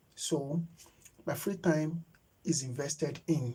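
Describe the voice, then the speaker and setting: A man speaks with vocal fry and fairly even intonation. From Nigeria. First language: Yoruba. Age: 30s. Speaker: YouTube creator. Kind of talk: live stream chat. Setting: live stream. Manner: halting, with many fillers.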